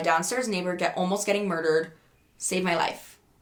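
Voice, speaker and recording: A woman's animated voice at a medium pitch. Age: 20s. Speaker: podcaster. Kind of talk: casual storytelling. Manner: loud.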